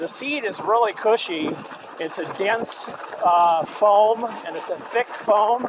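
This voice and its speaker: A man talks at a very slow pace with a high pitch and ordinary pitch variation. Noticeable background noise runs underneath. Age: 60s. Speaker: e-bike reviewer. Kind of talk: product review while riding. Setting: outdoors on a trail ride. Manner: halting, many fillers.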